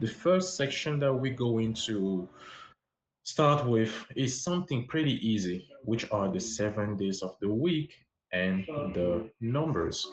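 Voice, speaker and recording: Speaking at a very slow pace with a French accent, a man uses a medium pitch, lively intonation and a somewhat breathy voice. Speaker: language teacher livestreamer. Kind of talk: livestream language lesson. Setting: livestream on social app.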